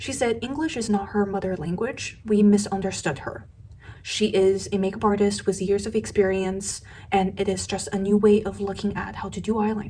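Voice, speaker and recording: A woman speaks at a moderate pace with a non-native accent, her pitch medium and her intonation fairly even. Noticeable background noise runs underneath. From Asia. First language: not English. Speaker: beauty youtuber. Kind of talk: commentary video.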